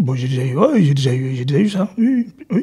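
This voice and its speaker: With a dark, mellow tone, a man's fairly high voice takes very wide pitch swings. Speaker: football coach, technical director. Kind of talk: interview. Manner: halting, repetitive.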